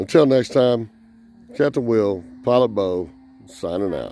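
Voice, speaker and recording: A man talks at a fairly slow pace with ordinary pitch variation. His tone is dark and mellow, and the sound is dry with no echo. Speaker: hobby vlogger filming his son. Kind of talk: casual vlog chat. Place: open country. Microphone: phone near.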